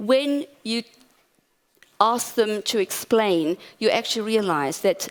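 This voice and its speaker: Recorded very cleanly against a silent background, a woman talks at a fairly slow pace with medium pitch and ordinary pitch variation. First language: Portuguese. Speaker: academic conference speaker. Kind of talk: conference talk.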